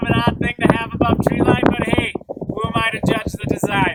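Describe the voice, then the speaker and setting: Over noticeable background noise, a man shouts loudly. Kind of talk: casual vlog to camera. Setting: outdoors at a mountain pass. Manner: loud, yelling.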